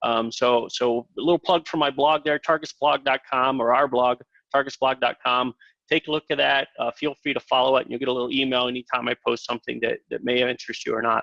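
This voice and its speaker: In an Ohio accent, a man talks at a very fast pace with fairly even intonation and a bright, sharp tone. The sound is dry and close, with no echo. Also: medium pitch for a man. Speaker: tech product presenter. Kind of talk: webinar presentation. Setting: live webinar. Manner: halting, many fillers.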